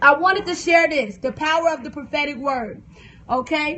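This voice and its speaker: A woman speaks loudly at a high pitch in an animated tone, with an American accent. Noticeable background noise runs under her voice. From US South. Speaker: preacher and author. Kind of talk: livestream sermon. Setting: phone livestream. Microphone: phone stream freezing.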